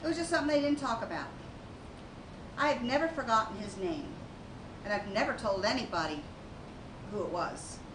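A high-pitched woman speaks at a fairly quick pace with very wide pitch swings and long, frequent pauses. Noticeable background noise runs underneath. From Baltimore. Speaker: Coast Guard veteran. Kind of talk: staged testimony. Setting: stage with audience. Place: stage.

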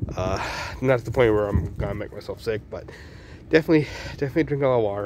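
A man speaks with ordinary pitch variation against noticeable background noise. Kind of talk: casual talk to camera. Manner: halting, hesitant.

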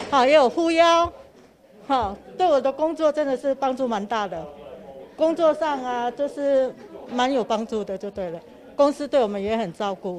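Over crowd noise in the background, the speaker uses lively intonation and takes long, frequent pauses. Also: woman, high pitch for a woman, moderate pace. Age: 50s. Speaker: hotel employee. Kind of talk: interview soundbite. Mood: content, grateful. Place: hall. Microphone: handheld.

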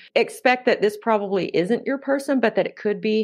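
The woman has a plain, everyday voice at a medium pitch. She talks at a fairly quick pace with fairly even intonation, and the background is quiet. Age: 50s. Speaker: dating coach and professor. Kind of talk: interview conversation.

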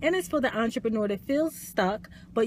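Over light background noise, a woman speaks in a somewhat breathy voice, the sound dry with no echo. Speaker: life coach. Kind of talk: motivational talk. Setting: live video stream. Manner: soft-spoken. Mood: warm, encouraging. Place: car. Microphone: phone near.

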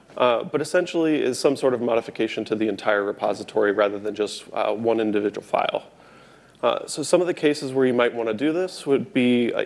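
Lively intonation marks this man's speech. He goes at a very fast pace. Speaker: conference presenter. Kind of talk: lecture. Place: hall.

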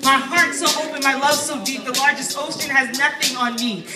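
Amid light background noise and audible room echo, a woman speaks in a raised, projected voice. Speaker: poet. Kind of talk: spoken word poetry performance. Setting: open mic stage with audience. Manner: fast. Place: shop. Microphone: handheld.

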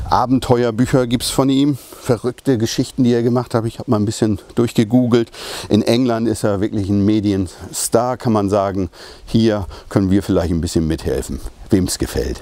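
A man at a moderate pace with ordinary pitch variation, in a dry sound with no echo. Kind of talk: product presentation. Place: street.

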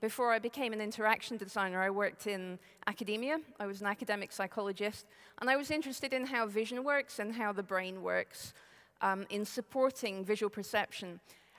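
A woman speaks at a fairly quick pace against a quiet background. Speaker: conference speaker. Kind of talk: lecture. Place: hall. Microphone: headset.

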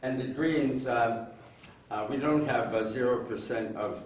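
The speech comes at a very slow pace with fairly even intonation. Audible room echo and light background noise are present. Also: man. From Northern Ontario, Canada. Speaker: former politician and electoral reform advocate. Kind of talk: public presentation with slides. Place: hall.

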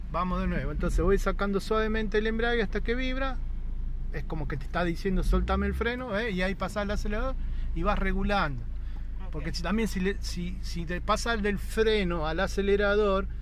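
Recorded dry with no echo and light background noise, a man talks at a fairly quick pace. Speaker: driving instructor. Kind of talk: instruction. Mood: calm, encouraging. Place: car. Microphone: phone near.

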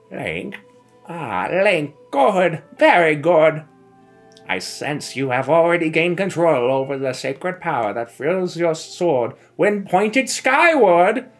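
A put-on character voice at a middle pitch speaks at a fairly slow pace. Faint music plays in the background. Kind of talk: grand fantasy oracle speech. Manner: solemn, prophetic, slow.

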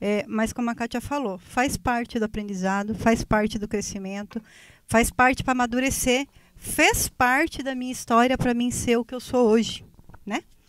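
Woman's voice with a fairly high pitch. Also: dry sound with no echo. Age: 40s. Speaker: guest. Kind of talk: casual chat. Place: studio. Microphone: handheld.

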